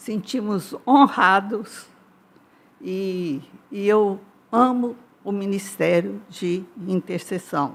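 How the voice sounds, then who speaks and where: Speaking at a very slow pace with long, frequent pauses, a woman uses a medium pitch and ordinary pitch variation. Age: 80s+. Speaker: church intercessor, elderly congregant. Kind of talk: testimony.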